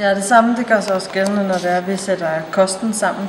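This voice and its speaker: Someone talks at a fairly quick pace amid noticeable background noise and audible room echo. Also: woman. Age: 30s. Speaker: personal trainer and fitness competitor. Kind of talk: interview.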